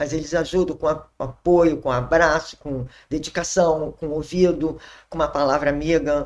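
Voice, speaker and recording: Recorded very cleanly with a silent background, a woman speaks at a moderate pace in a very deep, low pitch with monotone, flat intonation. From Brazil, Rio de Janeiro (Zona Sul). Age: 60s. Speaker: church member sharing testimony. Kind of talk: testimony.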